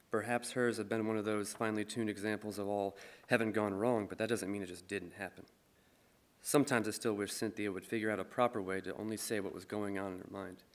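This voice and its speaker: In a monotone, flat intonation, a man with a fairly low voice talks at a very fast pace. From Michigan. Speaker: musician and poet. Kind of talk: reading aloud. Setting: stage with audience. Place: stage. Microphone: podium.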